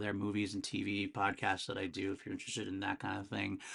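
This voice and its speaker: Very fast speech in a bright, sharp tone with vocal fry and ordinary pitch variation, against a quiet background. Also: man. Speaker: music podcast host. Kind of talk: solo music review podcast. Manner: casual, filler-heavy.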